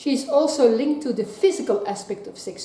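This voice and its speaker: Against noticeable background noise, a woman with a non-native accent speaks with ordinary pitch variation. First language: not English. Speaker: tarot card reader. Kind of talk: tarot reading to camera.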